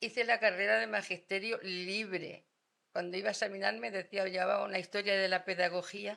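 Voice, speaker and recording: Woman's medium-pitched voice, bright and sharp in tone, with vocal fry and a fairly quick pace. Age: 80s+. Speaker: retired schoolteacher. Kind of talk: casual chat.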